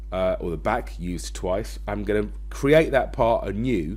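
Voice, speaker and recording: A man's voice with audible room echo. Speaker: design and technology teacher. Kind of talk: tutorial. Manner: fast.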